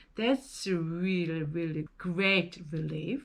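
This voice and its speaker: A woman with a non-native accent speaks very slowly. Her pitch is fairly low. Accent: non-native English speaker. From South Korea. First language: Korean. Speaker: vlogger. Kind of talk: personal vlog monologue. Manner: halting, with fillers.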